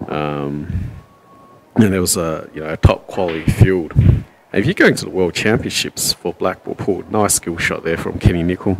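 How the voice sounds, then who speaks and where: A man with an Australian accent speaks at a moderate pace in a very deep, low pitch with ordinary pitch variation over noticeable background noise. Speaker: pool commentator. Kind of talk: live commentary. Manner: loud.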